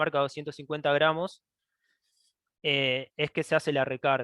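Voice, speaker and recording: Flat and monotone, a man speaks at a fairly high pitch. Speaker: engineering researcher. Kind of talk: technical presentation. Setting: online webinar. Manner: halting, many false starts.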